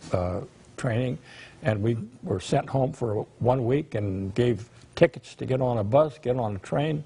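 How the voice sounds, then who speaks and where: Here a man speaks with a dark, mellow tone. His voice is somewhat breathy. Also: medium pitch for a man, ordinary pitch variation, fairly slow pace. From California Central Valley, Reedley. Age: 90s. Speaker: war veteran. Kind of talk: testimony. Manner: halting.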